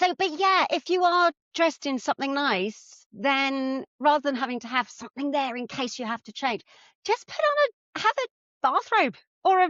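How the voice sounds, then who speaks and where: Loudness swings widely in this voice with an English accent. The pace is moderate and the intonation lively. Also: woman, high pitch for a woman. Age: 60s. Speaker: personal stylist. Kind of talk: casual chat.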